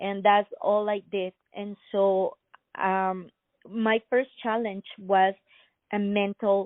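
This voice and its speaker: A woman with a Spanish accent talks at a very slow pace, her medium pitch held in a monotone, flat intonation, with long, frequent pauses. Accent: Spanish-accented English, non-native. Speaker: inventor and entrepreneur. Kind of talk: interview. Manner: halting, many fillers.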